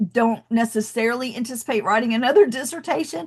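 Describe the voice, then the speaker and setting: In a Southern US accent, a woman speaks with an animated tone and a fairly high pitch. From US South, Athens, Georgia. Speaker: education coach, debt-free college advisor. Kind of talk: webinar presentation.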